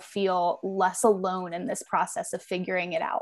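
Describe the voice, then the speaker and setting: Moderately paced and fairly even in intonation, a woman with an unremarkable speaking voice holds a medium pitch. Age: 20s. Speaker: author and journalist. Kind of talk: interview.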